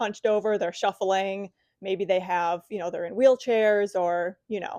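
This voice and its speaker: Against a quiet background, a woman speaks in a plain, everyday voice. Her pitch is medium and her pace fairly quick. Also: dry, close sound with no echo. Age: 30s. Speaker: fitness coach. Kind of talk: podcast interview host.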